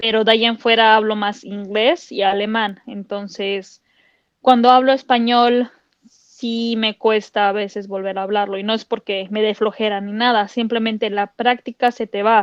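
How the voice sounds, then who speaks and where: Speaking at a fairly slow pace, a woman with a Mexican accent uses a fairly high pitch and a monotone, flat intonation. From Mexico. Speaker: podcast co-host. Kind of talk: casual chat.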